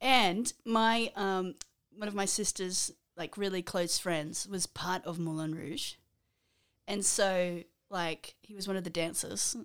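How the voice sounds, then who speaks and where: Delivered at a very slow pace with ordinary pitch variation, this voice with an Australian accent comes through a very clean recording with a silent background. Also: woman, medium pitch for a woman. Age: 30s. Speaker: podcast co-host. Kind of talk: casual chat.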